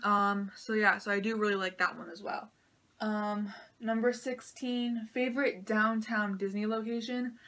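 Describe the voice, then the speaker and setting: A woman speaks at a moderate pace in a bright, sharp tone, fairly high in pitch and monotone with flat intonation. The recording is very clean, with a silent background. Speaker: Disney vlogger. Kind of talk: casual Q&A vlog.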